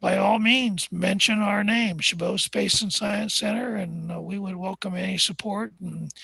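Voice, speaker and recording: Delivered at a moderate pace, the speech runs on with hardly any pauses. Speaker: astronomer. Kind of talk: live stream talk. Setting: observation deck. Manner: hesitant, many fillers.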